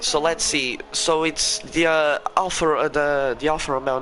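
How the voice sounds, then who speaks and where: Against noticeable background noise, a man with a Portuguese accent speaks at a fairly slow pace in a fairly high pitch. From Portugal. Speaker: sim racing league commentator. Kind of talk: live commentary. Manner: halting.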